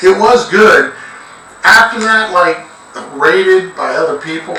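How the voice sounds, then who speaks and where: Speaking at a fairly slow pace, the voice carries audible room echo over noticeable background noise. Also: man. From Cuban heritage. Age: 60s. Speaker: interview guest. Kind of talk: casual chat.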